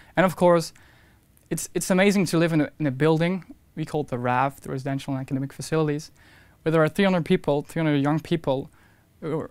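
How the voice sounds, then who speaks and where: With a Flemish accent, a man with a fairly high pitch talks at a fairly quick pace and with fairly even intonation, in a dry sound with no echo and a quiet background. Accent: Flemish Dutch accent in English. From Belgium, Hasselt (Flanders); Flanders, Belgium. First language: Dutch. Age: 20s. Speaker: university student and intern. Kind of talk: interview testimonial. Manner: halting, with repetitions. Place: studio.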